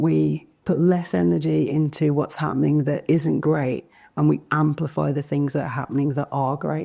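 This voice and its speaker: With a Birmingham accent, a woman speaks at a moderate pace in a very deep, low pitch, her tone dark and mellow with vocal fry. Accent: Birmingham (Brummie) English. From England, Birmingham (Handsworth). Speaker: inclusion speaker. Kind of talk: fireside chat on stage. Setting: stage with audience.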